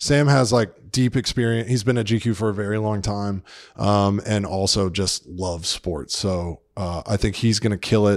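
This man has a plain, everyday voice with an American accent, fairly low pitch and ordinary pitch variation. He talks at a moderate pace on a very clean recording with a silent background. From Atlanta, Georgia, US South. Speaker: magazine editor. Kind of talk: casual interview.

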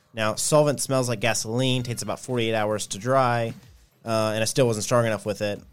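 The pace is fairly quick as a man speaks. His delivery stays monotone and flat. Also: medium pitch for a man. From Nashville, Tennessee. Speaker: agency founder and CEO. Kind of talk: interview. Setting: studio.

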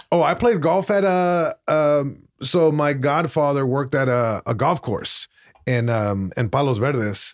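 A man with a Spanish accent and fairly high pitch uses lively intonation. He speaks at a fairly slow pace with very even loudness. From Long Beach, California. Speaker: comedian. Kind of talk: casual chat. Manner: halting, frequent repetitions.

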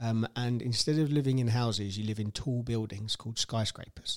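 Fairly even in intonation, a man talks with a British accent in a dry, close sound with no echo. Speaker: podcast host, stay-at-home dad. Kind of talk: casual chat.

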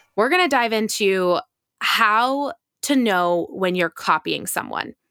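A woman speaks fairly slowly in an animated, enthusiastic tone at a fairly high pitch. The recording is very clean, dry and close, with no echo and a silent background. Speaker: podcast host. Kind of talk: scripted intro then casual conversation.

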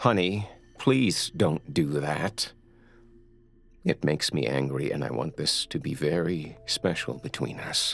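A man's put-on character voice, extremely low in pitch, with vocal fry, a slightly husky edge, a fairly bright tone, lively intonation and a slow pace

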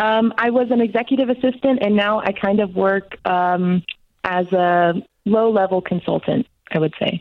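An unremarkable speaking voice comes through at a moderate pace, with very even loudness and ordinary pitch variation. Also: woman, medium pitch for a woman. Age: 20s. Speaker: caller. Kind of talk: call-in advice question.

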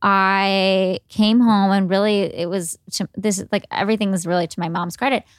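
The recording is very clean, with a silent background and a dry, close sound with no echo. A woman speaks in an unremarkable speaking voice at medium pitch and moderate pace. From US Midwest, Cleveland, Ohio. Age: 20s. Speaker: food blogger. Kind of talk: interview. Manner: casual with fillers.

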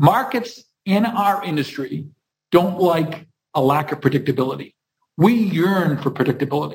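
With vocal fry and lively intonation, a man speaks at a moderate pace and a fairly high pitch. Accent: American. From Massachusetts (Hingham, near Boston). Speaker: construction company CEO. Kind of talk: interview.

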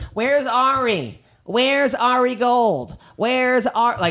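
A put-on character voice at a fairly high pitch and a fairly slow pace. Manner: loud, demanding.

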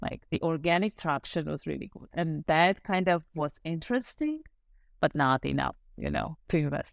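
A woman with an Armenian accent, dry, close sound with no echo, and a very clean recording over a silent background. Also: moderate pace. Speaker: startup founder. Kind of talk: casual interview.

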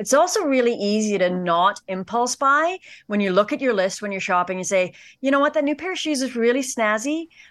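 Speaking at a very fast pace, a woman uses very wide pitch swings. She has a Canadian accent, and the background is quiet. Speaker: personal finance expert. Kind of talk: interview.

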